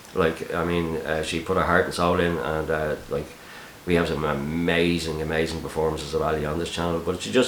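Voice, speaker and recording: A man's very deep, low voice at a very fast pace, fairly even in intonation, with audible room echo and noticeable background noise. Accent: Dublin. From Ireland, Dublin. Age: 40s. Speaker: YouTube channel host, busking videographer. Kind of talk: Q&A video, casual monologue. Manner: hesitant, many fillers and repeats.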